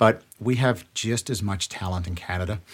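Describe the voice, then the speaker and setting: A man's somewhat breathy voice comes through on a very clean recording with a silent background. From South Africa, Johannesburg. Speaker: actor. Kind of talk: casual chat. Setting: studio.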